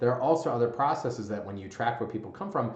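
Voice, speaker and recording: Delivered at a very fast pace in an animated tone, the speech carries audible room echo and noticeable background noise. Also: man. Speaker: gym business coach, former gym owner. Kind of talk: tutorial.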